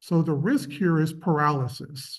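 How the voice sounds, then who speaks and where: Audible room echo surrounds this man's voice. He speaks at a fairly high pitch. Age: 50s. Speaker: university professor and research dean. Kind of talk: lecture. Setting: workshop presentation to graduate students.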